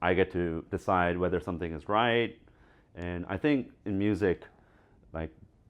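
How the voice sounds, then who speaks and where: Using long, frequent pauses, a man with an American accent and a very deep, low pitch talks at a moderate pace with ordinary pitch variation. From South Korea, Seoul. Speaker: music producer. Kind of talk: interview.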